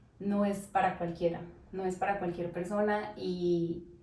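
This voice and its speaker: Amid audible room echo, a woman speaks at a fairly slow pace in a monotone, flat intonation. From Colombia, Tolima (Armero Guayabal). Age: 20s. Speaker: nurse. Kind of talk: interview.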